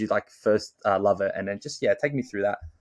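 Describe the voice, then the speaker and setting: In an Australian accent, a man speaks at a medium pitch, with a dry, close sound and no echo on a very clean recording against a silent background. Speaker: podcast host. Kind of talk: casual chat.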